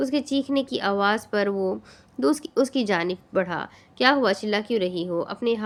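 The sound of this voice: The clip carries an unforced reading voice.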